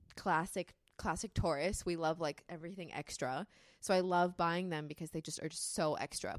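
Speaking at a moderate pace with an American accent, a woman has an unremarkable speaking voice with a fairly low pitch and fairly even intonation. The recording is very clean with a silent background and a dry, close sound with no echo. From California. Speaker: model and creative.

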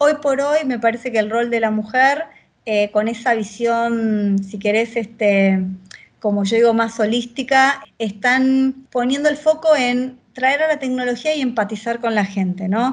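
A woman with a plain, everyday voice talks at a fairly slow pace. Her pitch is fairly high, with ordinary pitch variation. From Argentina, Buenos Aires province (Victoria, zona norte). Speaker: agile transformation leader in tech. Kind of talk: interview.

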